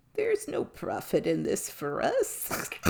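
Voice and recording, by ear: This put-on character voice is pitched extremely high. It moves along at a fairly slow pace.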